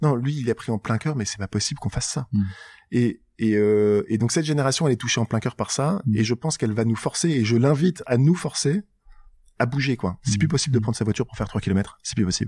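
A man's dark, mellow, somewhat breathy voice at medium pitch, very fast pace, dry and close with no echo, in a very clean recording with a silent background. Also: lively intonation. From northern France, Nord (Tourcoing/Roubaix/Lille). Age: 40s. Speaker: startup co-founder. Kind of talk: interview conversation.

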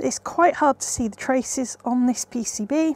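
A woman speaks in a high voice with ordinary pitch variation. The sound is dry with no echo. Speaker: presenter. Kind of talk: tutorial. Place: workshop.

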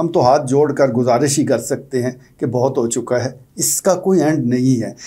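His tone is dark and mellow. Only quiet surrounds this man's voice. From Pakistan. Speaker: political commentator. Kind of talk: opinion commentary monologue. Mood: earnest, concerned. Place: studio.

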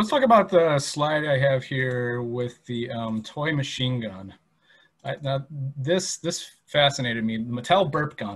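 A man speaks with lively intonation. His voice is somewhat breathy. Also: fairly slow pace, quiet background. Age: 30s. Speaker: museum educator. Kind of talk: presentation. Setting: online video presentation. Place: home room. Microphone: webcam.

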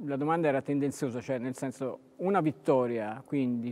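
The man talks at a moderate speed, his intonation fairly even. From Tuscany, Pistoia; Tuscany. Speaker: sports TV host. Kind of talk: interview. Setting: sports hall. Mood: relaxed, conversational. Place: hall. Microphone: lapel.

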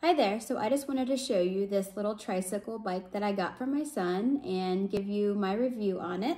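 A woman speaks at a moderate pace with hardly any pauses. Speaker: parent reviewing a product. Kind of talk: product review. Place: home room. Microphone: phone near.

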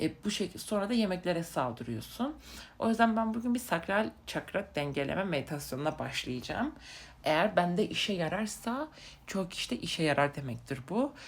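With vocal fry and very wide pitch swings, the speaker goes at a moderate pace on a very clean recording with a silent background. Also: woman, medium pitch for a woman. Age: 20s. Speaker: vlogger. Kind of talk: casual monologue. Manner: halting with many fillers.

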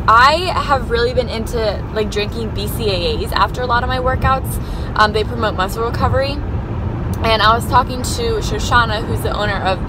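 A woman talks at a fairly quick pace. The sound is dry with no echo, but there is noticeable background noise. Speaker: vlogger. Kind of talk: casual vlog chat. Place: car. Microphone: phone near.

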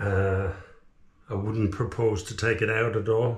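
There is audible room echo as a man speaks with fairly even intonation at a fairly low pitch. His voice is somewhat breathy. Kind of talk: casual vlog chat. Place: bathroom. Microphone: camera far.

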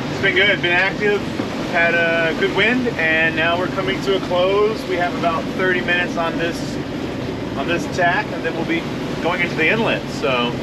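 Loud background noise sits behind the voice. The speech moves at a moderate pace. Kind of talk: casual vlog chat. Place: boat. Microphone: camera far.

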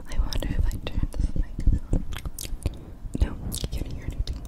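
A woman whispers at a moderate pace, stopping often for long pauses. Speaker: ASMR creator. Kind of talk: ASMR video. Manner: whispered. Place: home room. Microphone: studio mic.

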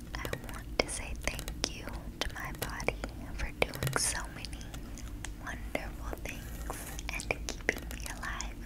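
Soft-spoken whispering in a gentle tone, broken by long, frequent pauses. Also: woman. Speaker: affirmation video creator. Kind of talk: soft spoken affirmations. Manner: soft close-mic whisper, gentle. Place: home room.

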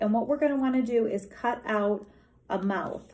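At a moderate pace, a woman speaks with fairly even intonation and a somewhat breathy quality. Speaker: teacher. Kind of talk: tutorial. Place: meeting room. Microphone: phone near.

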